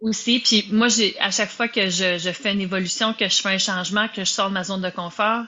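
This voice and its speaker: A woman with an ordinary speaking voice talks at a moderate pace and medium pitch, keeping her intonation fairly even. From Quebec. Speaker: podcast host, business and life coach. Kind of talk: casual interview.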